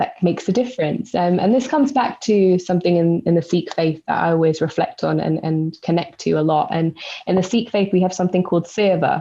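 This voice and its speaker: With a London accent, a woman talks at a fairly quick pace with hardly any pauses, her pitch fairly low with ordinary variation and her loudness very even. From East London. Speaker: spoken word poet and educator. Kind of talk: podcast interview answer.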